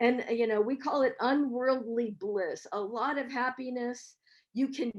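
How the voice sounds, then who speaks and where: At a fairly slow pace, a woman with an American accent talks in a high pitch. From US, San Francisco. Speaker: professor. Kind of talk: webinar talk.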